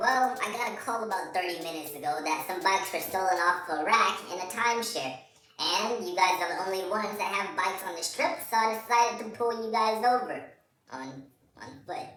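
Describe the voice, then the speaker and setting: Doing a put-on character voice, a man speaks high and fairly quickly with a slight echo. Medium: solo performance. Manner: authoritative.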